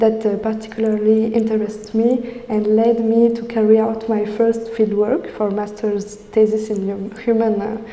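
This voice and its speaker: Amid noticeable background noise and audible room echo, a woman with a fairly high pitch speaks at a moderate pace in a French accent. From France. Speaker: PhD student researcher. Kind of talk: academic presentation. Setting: in-person talk with audience. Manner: halting, many fillers.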